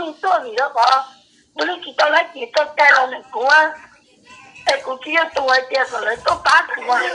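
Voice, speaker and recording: A woman's raised, projected voice comes at a fairly quick pace. Her intonation is lively, with big swings in loudness. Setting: phone call.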